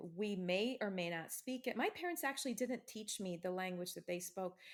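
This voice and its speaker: A woman with an American accent has an ordinary speaking voice at medium pitch. She speaks at a moderate pace with ordinary pitch variation. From US Midwest, Ohio. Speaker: author. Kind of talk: interview.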